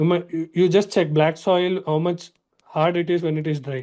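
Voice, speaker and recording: Against a quiet background, a man speaks in a high voice at a moderate pace. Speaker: exam coaching teacher. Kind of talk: online lecture.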